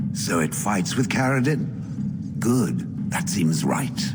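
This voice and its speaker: Over loud background noise, a man in a put-on character voice speaks at a very slow pace and a fairly low pitch. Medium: machinima. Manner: stiff, formal.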